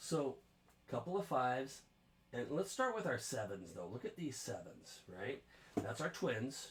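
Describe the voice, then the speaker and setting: This man has a medium pitch that swings very widely, with vocal fry. He speaks at a fairly slow pace. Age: 60s. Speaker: guitar teacher. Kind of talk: music lesson.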